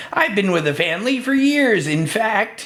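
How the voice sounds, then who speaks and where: Someone uses a put-on character voice with a fairly high pitch at a moderate pace. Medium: read story.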